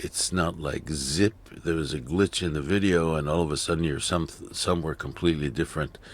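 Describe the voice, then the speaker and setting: A man's very deep, low voice with vocal fry, fairly even intonation and hardly any pauses. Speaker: video editing tutorial creator. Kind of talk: tutorial. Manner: slow; halting.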